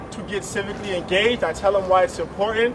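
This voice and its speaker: A man talks with fairly even intonation, his voice carrying audible room echo amid noticeable background noise. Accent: New York. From West Africa, raised in US from age six (New York). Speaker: immigrant advocate. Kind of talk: rally speech.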